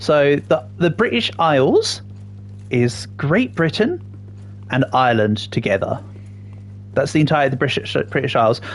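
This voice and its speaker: A man with an RP accent at a fairly slow pace, very even in loudness, with long, frequent pauses and music in the background. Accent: near RP English. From England. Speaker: gaming streamer. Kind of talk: live gameplay stream chat, answering viewers. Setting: livestream. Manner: casual, chatty with fillers.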